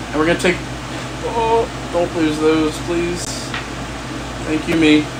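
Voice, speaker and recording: Noticeable background noise accompanies delivery that unfolds fairly slowly. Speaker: gaming streamer. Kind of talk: casual live stream chat. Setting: home office live stream. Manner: casual, rambling with fillers.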